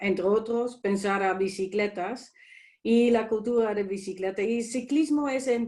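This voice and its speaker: A woman talks with a Dutch accent. Her pitch is fairly high, with ordinary pitch variation. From Netherlands. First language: Dutch (speaking Spanish). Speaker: ambassador. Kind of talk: presentation. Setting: video call. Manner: halting.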